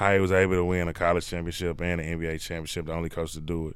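A man speaks with audible room echo. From Texas, Dallas area. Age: 20s. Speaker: basketball coach. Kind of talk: casual chat.

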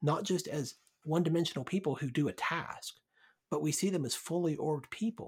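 This man has an unremarkable speaking voice with a fairly high pitch. He talks at a fairly quick pace. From US South, Birmingham, Alabama. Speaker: pastor. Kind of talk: casual chat.

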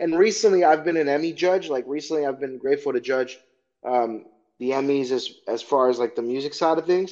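A man talks at a fairly quick pace in a normal speaking voice. His pitch is fairly high, with ordinary variation. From Chicago, Illinois. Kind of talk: casual interview.

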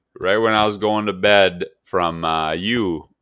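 A bright, sharp tone at a fairly slow pace, on a very clean recording with a silent background. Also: man. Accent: Upper Midwest US. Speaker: hunting podcast co-host. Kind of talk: casual chat.

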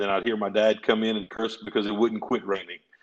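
Here is a man with a Louisiana accent. His intonation is monotone and flat. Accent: southern US (Louisiana). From Louisiana, rural farm area. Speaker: personal injury lawyer. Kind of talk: casual interview.

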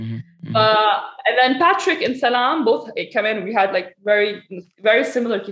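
A woman speaks at a fairly high pitch with lively intonation and some vocal fry. Her pace is fairly quick, broken by long, frequent pauses. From Saudi Arabia and Lebanon. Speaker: fitness coach and researcher. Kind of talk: casual interview chat.

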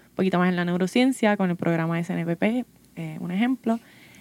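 With a dry, close sound and no echo, a woman speaks in an ordinary speaking voice at medium pitch with fairly even intonation. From Puerto Rico, Santa Isabel. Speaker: undergraduate biology student. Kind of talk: casual panel conversation.

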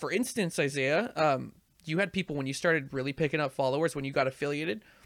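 A man talking at a very fast pace, in a very clean recording with a silent background and a dry, close sound free of echo. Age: 30s. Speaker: podcast host and video game streamer. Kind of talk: casual chat.

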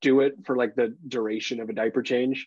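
At a moderate pace, a man speaks in a medium pitch, the sound dry and close with no echo. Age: 30s. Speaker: podcast co-host, father. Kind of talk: casual chat.

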